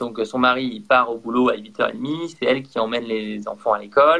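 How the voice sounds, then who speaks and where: A man talks at a moderate pace and medium pitch. His pitch variation is ordinary. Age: 30s. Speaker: entrepreneur. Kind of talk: interview. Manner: energetic.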